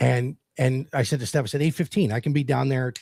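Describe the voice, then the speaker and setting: The recording is very clean, with a silent background. A man with a medium pitch and a somewhat breathy voice talks at a very fast pace. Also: dry, close sound with no echo. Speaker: sports podcast co-host. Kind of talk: casual chat.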